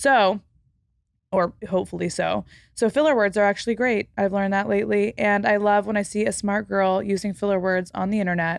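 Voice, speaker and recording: In an unremarkable speaking voice, a woman talks at a fairly quick pace with fairly even intonation. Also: medium pitch for a woman, very even loudness, quiet background. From Texas. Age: 20s. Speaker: podcast host. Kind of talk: casual chat. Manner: many filler words.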